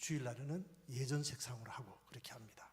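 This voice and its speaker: Somewhat breathy, a man talks at a moderate pace with audible room echo around him. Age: 60s. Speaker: pastor. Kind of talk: conference talk.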